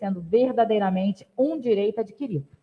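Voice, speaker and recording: A woman speaks in a somewhat breathy voice. Her pace is fairly quick, with ordinary pitch variation. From Valença, Rio de Janeiro state, Brazil; Rio de Janeiro state, Brazil. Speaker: city councilwoman. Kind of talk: legislative session speech and reading of documents. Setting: council chamber. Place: hall. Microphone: podium.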